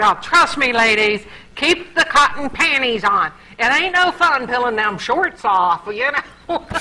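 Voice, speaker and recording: Her voice is high-pitched, raised and projected, with very wide pitch swings at a fairly slow pace. Noticeable background noise sits behind this woman. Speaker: comedian. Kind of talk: casual chat. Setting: studio.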